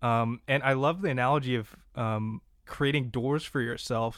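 At a moderate pace and medium pitch, a man uses an ordinary speaking voice with ordinary pitch variation in a very clean recording with a silent background. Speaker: podcast co-host. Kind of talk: interview.

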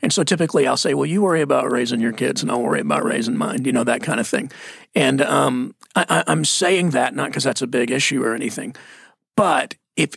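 A man speaks at a fairly high pitch. His intonation is lively. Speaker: lead pastor. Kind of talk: casual conversational Bible discussion.

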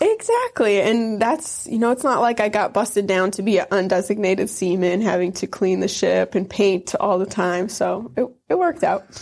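A woman with an American accent speaks at a moderate pace and a medium pitch, keeping her loudness very even and her pitch variation ordinary. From northern Wisconsin near Michigan's Upper Peninsula. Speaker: Navy veteran. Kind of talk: interview testimony.

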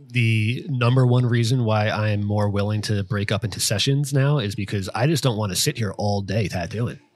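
A man speaks at a moderate pace with a medium pitch and ordinary pitch variation. Music plays in the background. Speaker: tattoo artist podcast host. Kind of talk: casual podcast chat.

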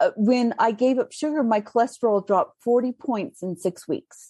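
A woman's high, dark, mellow voice at a fairly slow pace, dry and close with no echo against a quiet background. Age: 50s. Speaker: food blogger and cookbook author. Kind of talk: casual interview.

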